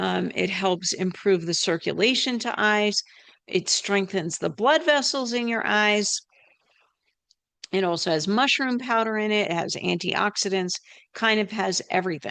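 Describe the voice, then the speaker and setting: A woman speaks at a fairly slow pace against a quiet background, with a medium pitch and ordinary pitch variation. It is an ordinary speaking voice. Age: 60s. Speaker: health practitioner and channel host. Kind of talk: educational health talk. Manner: casual, conversational with filler words.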